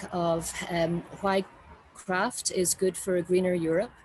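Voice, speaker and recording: A woman with an Irish accent at medium pitch and a fairly slow pace, over noticeable background noise. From Ireland. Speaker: university design representative. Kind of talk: conference talk. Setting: video call from a balcony. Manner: halting, many fillers.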